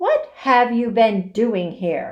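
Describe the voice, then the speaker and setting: Shouting loudly in a put-on character voice, a woman sounds shrill and growling at a fairly high pitch. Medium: read story. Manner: imperious, shouting.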